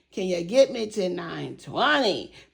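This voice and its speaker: A woman with a medium-pitched voice speaks in an animated tone, her pitch swinging very widely over noticeable background noise. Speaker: savings challenge vlogger. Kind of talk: casual vlog chat. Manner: fast.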